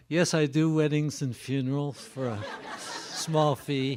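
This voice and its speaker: A man with a fairly high pitch talks with ordinary pitch variation while noticeable background noise plays behind him. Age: 80s+. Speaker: education researcher and author. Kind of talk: lecture. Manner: halting.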